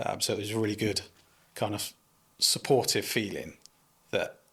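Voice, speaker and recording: A man with a West Country accent at a moderate pace, on a very clean recording with a silent background. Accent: West Country English (Bristol). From Bristol, England (Keynsham). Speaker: landscaping business owner, former police officer. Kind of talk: casual interview.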